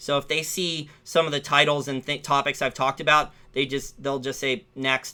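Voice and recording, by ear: A man's put-on character voice, mumbling in a flat monotone at a moderate pace, fairly high-pitched, with hardly any pauses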